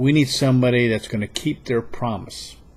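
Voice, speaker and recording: A man speaks at a moderate pace and medium pitch. His intonation is fairly even. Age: 60s. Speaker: political video blogger. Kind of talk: political monologue. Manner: halting.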